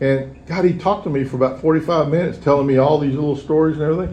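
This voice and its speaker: The speaker has a Texan accent, heard with audible room echo. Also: man. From Texas. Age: 70s. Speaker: recovering alcoholic speaker. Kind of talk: recovery talk. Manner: halting.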